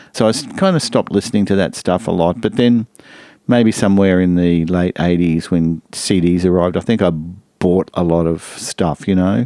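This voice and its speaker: In an Australian accent, a man talks at a moderate pace with a very deep, low pitch, ordinary pitch variation and very even loudness, recorded with a dry, close sound and no echo. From Brisbane, Australia. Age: 60s. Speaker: music lecturer and producer. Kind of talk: casual interview. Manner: hesitant, many fillers.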